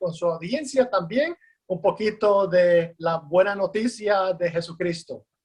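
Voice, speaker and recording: High-pitched for a man, this speaker talks at a fairly slow pace with ordinary pitch variation. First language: English (speaking Spanish). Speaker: pastor and seminary professor. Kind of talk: interview. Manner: halting.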